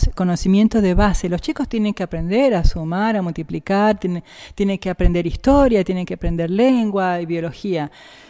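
A woman with a dark, mellow tone and medium pitch speaks on a very clean recording with a silent background. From Argentina, Jujuy. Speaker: physicist and professor. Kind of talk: interview.

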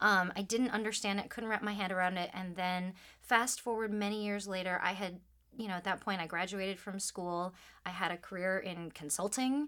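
On a very clean recording with a silent background, a woman with an American accent talks at a fairly quick pace in a bright, sharp tone with fairly even intonation. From US Midwest, suburban Detroit, Michigan. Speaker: voice actor. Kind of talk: interview conversation. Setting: studio.

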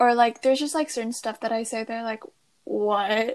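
A woman with a normal speaking voice at a fairly high pitch, moderate in pace, over a quiet background. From US (moved from Taiwan around age 10). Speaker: podcast co-host, college student. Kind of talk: casual chat. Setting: remote call.

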